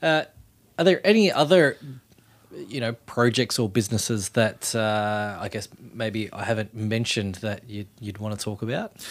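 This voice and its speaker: A man with an Australian accent at a moderate pace and medium pitch, ordinary pitch variation, big swings in loudness, on a very clean recording with a silent background. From Australia, Western Sydney. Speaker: podcast host. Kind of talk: interview, casual chat.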